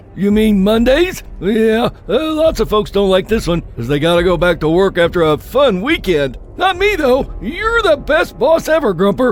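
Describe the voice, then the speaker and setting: A man puts on a cartoonish character voice, high in pitch with very wide pitch swings. He keeps a moderate pace with hardly any pauses over clear background noise. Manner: easygoing surfer-dude slang, upbeat.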